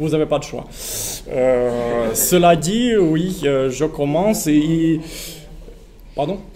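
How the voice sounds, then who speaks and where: A man with a non-native accent speaks at a very slow pace, with long, frequent pauses, a fairly high pitch and ordinary pitch variation. Noticeable background noise and audible room echo fill the recording. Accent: foreign accent in French. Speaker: researcher, panel speaker. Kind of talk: public talk at a political meeting. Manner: halting, many hesitations and repetitions.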